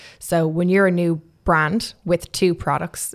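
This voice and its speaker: A woman with an Irish accent speaks at a fairly low pitch, captured in a very clean recording against a silent background. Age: 20s. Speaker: makeup artist and entrepreneur. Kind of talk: interview.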